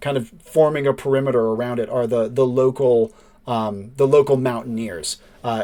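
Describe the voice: With intonation kept fairly even, the passage is plain reading aloud.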